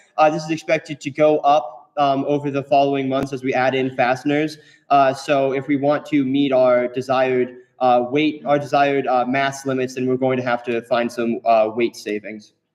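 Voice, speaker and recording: A man's medium-pitched voice at a moderate pace, monotone and flat in intonation. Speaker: student engineer presenting robot design. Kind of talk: technical presentation. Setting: echoey room with audience and microphone. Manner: loud.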